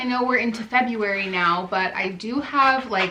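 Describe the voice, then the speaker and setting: A woman speaks at a moderate pace in a high pitch with lively intonation. Noticeable background noise and audible room echo fill the recording. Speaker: artist vlogger. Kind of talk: casual vlog narration. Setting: art studio.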